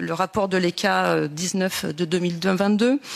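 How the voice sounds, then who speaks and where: At a fairly slow pace, a woman speaks in an ordinary speaking voice at a medium pitch, her intonation fairly even. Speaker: politician. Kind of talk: committee hearing questions.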